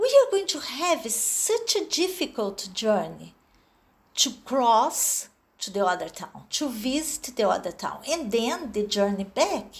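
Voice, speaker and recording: Speaking in a Brazilian accent at a fairly slow pace, a woman sounds animated, her pitch swinging very widely. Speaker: storyteller. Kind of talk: storytelling. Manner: animated, expressive.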